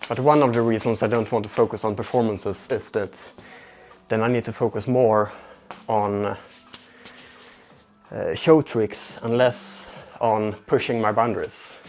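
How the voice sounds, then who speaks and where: A man with a Swedish accent and a medium pitch, at a fairly slow pace with long, frequent pauses and fairly even intonation, with music in the background. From Sweden. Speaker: juggling livestreamer. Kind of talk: casual livestream chat. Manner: halting, self-repeating.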